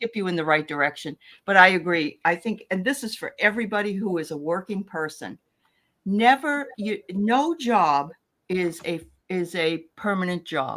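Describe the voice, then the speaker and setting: At a moderate pace, a woman with an ordinary speaking voice talks at a medium pitch on a very clean recording with a silent background. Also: lively intonation. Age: 60s. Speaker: spiritual show panelist. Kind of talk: casual chat.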